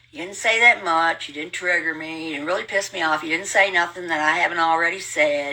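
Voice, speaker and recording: Against noticeable background noise, a woman with an American accent talks at a fairly quick pace in a fairly low voice, with big swings in loudness and hardly any pauses. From rural US hill country. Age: 70s. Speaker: livestreamer. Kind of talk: casual storytelling monologue. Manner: fast; animated.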